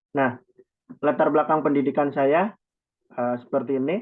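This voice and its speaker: A man talks at a moderate pace in a fairly high pitch. It is a normal speaking voice with ordinary pitch variation. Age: 20s. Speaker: youth organization chairman. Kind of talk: presentation in online meeting.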